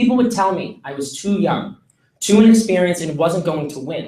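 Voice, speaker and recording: Lively in intonation, a man with a Boston accent speaks at a high pitch. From Massachusetts, near Boston. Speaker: student intern speaker. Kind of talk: commencement speech.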